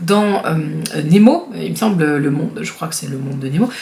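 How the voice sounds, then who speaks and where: Noticeable background noise and audible room echo surround a woman's animated voice. She moves at a moderate pace with very wide pitch swings. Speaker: YouTuber. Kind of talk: casual vlog commentary. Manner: hesitant, many fillers.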